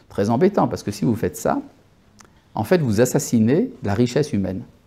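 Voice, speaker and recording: With a Hebrew accent, a man talks at a fairly quick pace and medium pitch in a dark, mellow, somewhat breathy tone, his pitch swinging very widely. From born in Algeria. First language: Hebrew (speaking French). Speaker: rabbi. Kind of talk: lecture. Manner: halting, with hesitations.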